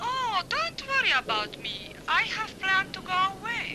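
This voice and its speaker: Amid clear background noise, a woman at a moderate pace does a put-on character voice at an extremely high pitch. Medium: short film.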